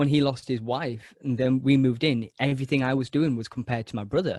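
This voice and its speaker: At a moderate pace, a man speaks in a medium pitch with a dry, close sound and no echo. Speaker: actor and podcast host. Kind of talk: interview answer.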